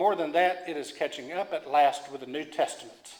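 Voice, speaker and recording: A man speaks with an Oklahoma accent. His pace is moderate and his pitch varies in an ordinary way. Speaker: preacher. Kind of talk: sermon reading aloud. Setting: church. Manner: halting with repetitions.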